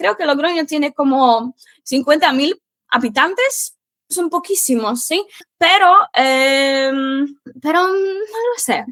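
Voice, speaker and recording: Speaking at a very slow pace, a woman uses a high pitch and lively intonation. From Poland. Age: 20s. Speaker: Spanish teacher. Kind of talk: interview. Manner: halting, many fillers.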